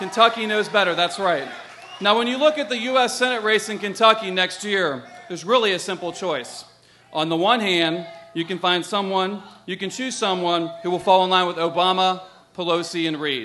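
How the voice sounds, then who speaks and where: At a moderate pace, a raised, projected voice carries ordinary pitch variation over light background noise. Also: man. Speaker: candidate. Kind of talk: political stump speech. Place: stage. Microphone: podium.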